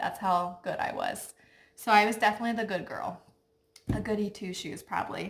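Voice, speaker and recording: Soft-spoken woman with a Midwestern US accent, ordinary pitch variation and big swings in loudness. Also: medium pitch for a woman, fairly quick pace. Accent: US Midwest. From Ohio, Cincinnati. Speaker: lifestyle vlogger. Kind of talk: casual chat.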